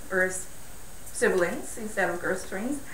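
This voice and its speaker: With very wide pitch swings, a woman talks amid audible room echo. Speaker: speaker. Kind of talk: lecture. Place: hall.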